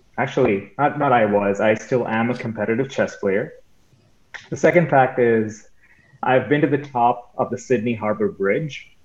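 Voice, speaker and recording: A man with an American accent, an unremarkable speaking voice and ordinary pitch variation. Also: medium pitch for a man, moderate pace. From India, then Michigan. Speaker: cytopathology fellow. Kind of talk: quiz show, casual chat.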